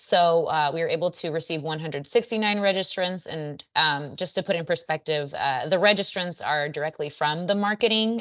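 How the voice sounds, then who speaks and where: Here a woman speaks at a fairly low pitch. Her pace is fairly quick, with ordinary pitch variation. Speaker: marketing presenter. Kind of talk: business presentation on a video call. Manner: fast.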